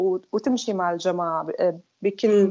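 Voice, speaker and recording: A woman speaks at a very slow pace. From Syria (Damascus). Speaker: former group member. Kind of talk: personal testimony.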